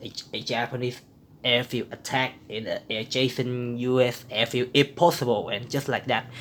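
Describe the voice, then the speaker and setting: Speaking at a fairly slow pace, a man with a non-native accent holds a medium pitch. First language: not English. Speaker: board game player. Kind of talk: tutorial. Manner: halting, many repetitions.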